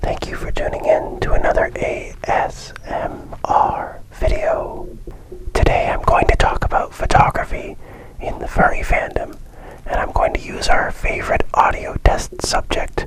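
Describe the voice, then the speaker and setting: Whispering at a fairly slow pace amid noticeable background noise. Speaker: ASMR creator and furry fandom photographer. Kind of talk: ASMR photography talk. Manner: soft-spoken.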